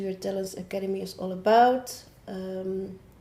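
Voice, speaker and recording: Her voice is dark and mellow in tone, a woman at medium pitch speaking in a Dutch accent. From Netherlands. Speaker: online academy founder and coach. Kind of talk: casual talk to camera. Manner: halting, many filler sounds.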